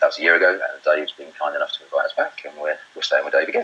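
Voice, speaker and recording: Against noticeable background noise, a man talks with a British accent. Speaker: property investor and webinar presenter. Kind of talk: webinar presentation. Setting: live webinar broadcast. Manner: loud.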